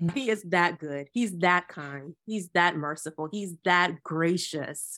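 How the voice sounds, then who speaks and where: Lively intonation in an American accent, recorded very cleanly against a silent background. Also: woman. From Ghana, then US from age ten. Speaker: Bible teacher and author. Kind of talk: interview conversation. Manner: halting, many fillers.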